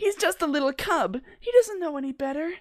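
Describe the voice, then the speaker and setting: Putting on a character voice, a man talks fairly quickly at an extremely high pitch. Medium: read story. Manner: soft and gentle.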